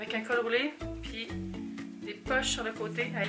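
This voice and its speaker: A woman speaks in a Quebec accent. Music plays in the background. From Montreal, Quebec. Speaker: vlogger. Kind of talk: casual talk to camera, vlog. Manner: relaxed, conversational.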